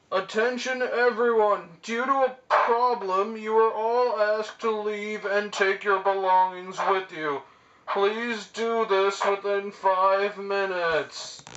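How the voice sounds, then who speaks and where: This put-on character voice has a fairly high pitch and a fairly slow pace. It runs on with hardly any pauses. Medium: short film. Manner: stammering, nervous.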